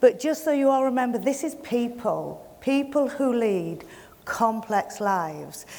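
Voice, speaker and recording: A woman with a Yorkshire accent speaks at a fairly slow pace in a high voice with very wide pitch swings. The room echo is audible. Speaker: community project manager. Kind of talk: welcome speech. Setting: stage with audience.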